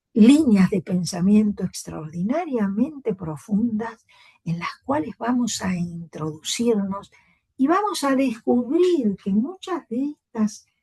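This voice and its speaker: A woman's fairly high, dark and mellow voice, somewhat breathy, at a very slow pace with very wide pitch swings, in a dry, close sound with no echo. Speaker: university lecturer. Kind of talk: lecture.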